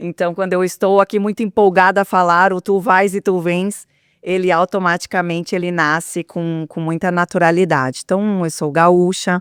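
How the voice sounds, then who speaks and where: A woman with a southern Brazilian accent talks at a moderate pace and medium pitch, with fairly even intonation and hardly any pauses. The sound is dry and close with no echo, on a very clean recording with a silent background. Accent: gaúcho (southern Brazilian). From Rio Grande do Sul, Brazil (São Leopoldo). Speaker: HR and transformation executive. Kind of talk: interview conversation.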